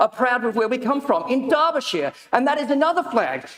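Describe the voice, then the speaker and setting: A man with an Australian accent speaks at an extremely high pitch with lively intonation over noticeable background noise. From Australia and Papua New Guinea. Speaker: county councillor. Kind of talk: council meeting debate answer. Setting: council chamber. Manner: impassioned; halting.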